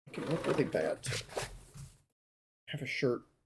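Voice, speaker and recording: A man speaking at a fairly slow pace. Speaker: sewing livestreamer. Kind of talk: live tutorial stream.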